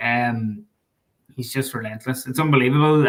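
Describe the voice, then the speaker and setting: This man speaks with a Donegal accent. His pitch is medium and his pace moderate. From Ireland, Donegal (Killybegs area). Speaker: sports journalist and author. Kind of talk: casual chat.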